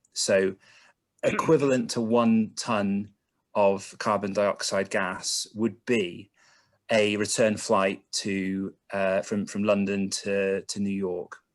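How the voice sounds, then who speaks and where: Speaking at a very slow pace, a man with a slight Bristol accent keeps a fairly low pitch and monotone, flat intonation. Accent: Bristolian, slight. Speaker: carbon emissions consultant. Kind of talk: online presentation. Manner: hesitant, many fillers.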